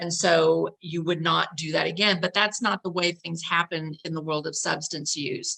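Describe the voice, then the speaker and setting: Talking at a moderate pace with hardly any pauses, a woman has a fairly low pitch, a bright, sharp tone, vocal fry and fairly even intonation. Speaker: family coach presenter. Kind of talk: training presentation.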